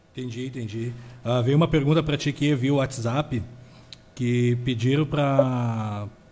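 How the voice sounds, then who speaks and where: A man speaks in a southern Brazilian accent at a medium pitch with fairly even intonation. His tone is dark and mellow, and somewhat breathy. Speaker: radio host. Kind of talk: interview.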